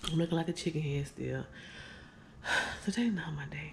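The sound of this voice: A woman talks at a fairly quick pace with a low pitch and vocal fry. Her tone is slightly mellow, with ordinary pitch variation.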